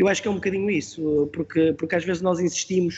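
A man talks at a very fast pace in a high voice. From Portugal, Porto. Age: 40s. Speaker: football coach. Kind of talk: interview. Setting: podcast.

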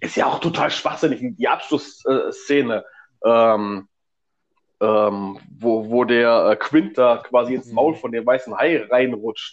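A man at medium pitch, very slow pace and ordinary pitch variation. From northern Germany, Stemwede area. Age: 40s. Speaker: podcast co-host, film fan. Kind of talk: casual chat. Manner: hesitant, many fillers.

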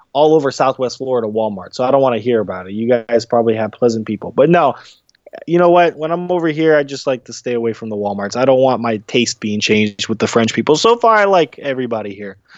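A man at medium pitch with lively intonation and a very fast pace. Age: 20s. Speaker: boxer and segment co-host. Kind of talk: casual chat.

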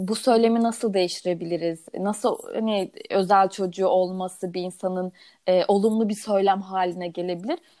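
A woman with an unremarkable speaking voice talks at a moderate pace in a fairly even intonation, with hardly any pauses. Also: medium pitch for a woman. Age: 20s. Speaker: podcast co-host, mother of a child with Down syndrome. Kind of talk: casual chat.

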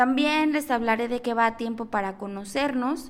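A high-pitched woman's voice with a Mexico City accent and ordinary pitch variation. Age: 20s. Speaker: podcast host. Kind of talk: podcast monologue.

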